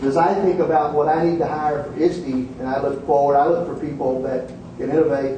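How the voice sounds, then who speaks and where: A man with an American accent speaks at a moderate pace, with fairly high pitch and fairly even intonation. Noticeable background noise and audible room echo fill the recording. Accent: Texan accent, stronger when tired. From Texas. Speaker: education leader, keynote speaker. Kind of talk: conference keynote.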